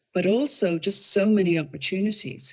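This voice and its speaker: A woman speaks at a moderate pace with ordinary pitch variation. She has an unremarkable speaking voice. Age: 60s. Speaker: retiree online designer, guest. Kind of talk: podcast interview chat.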